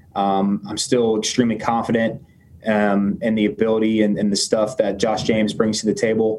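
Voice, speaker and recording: A man's fairly low voice at a moderate pace, in monotone, flat intonation with audible room echo. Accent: American. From Tampa, Florida. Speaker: baseball pitcher. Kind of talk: press conference. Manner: halting.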